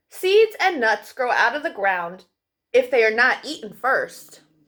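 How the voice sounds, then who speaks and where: A high-pitched, put-on character voice from a woman, delivered fairly slowly. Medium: read story. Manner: gentle, patient.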